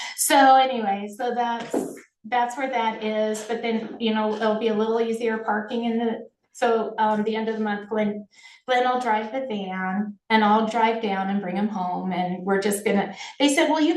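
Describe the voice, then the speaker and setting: Room echo is audible around a woman's voice. Her pitch is fairly high, with ordinary pitch variation. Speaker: county department head. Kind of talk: public meeting report. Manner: fast.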